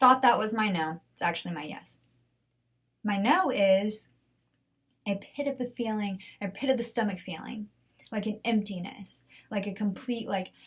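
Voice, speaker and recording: Somewhat breathy and animated in tone, the voice moves at a moderate pace with ordinary pitch variation and long, frequent pauses. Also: woman, fairly high pitch for a woman. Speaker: podcast host. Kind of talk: solo podcast talk.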